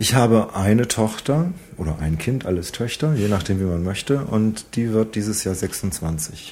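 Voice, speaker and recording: Lively in intonation, a man talks at a fairly low pitch in a plain, everyday voice. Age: 40s. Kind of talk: interview answers.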